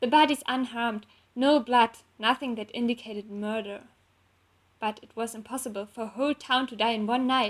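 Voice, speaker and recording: A woman with a non-native accent talks at a fairly high pitch. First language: not English. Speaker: fanfiction author and illustrator. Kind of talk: reading aloud. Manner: halting.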